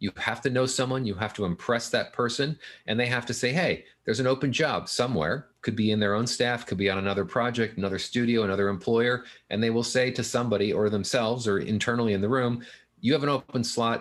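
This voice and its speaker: Against a quiet background, a man talks at a very fast pace and medium pitch, with very even loudness and ordinary pitch variation. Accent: American. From Southern California. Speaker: film finance consultant. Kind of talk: interview.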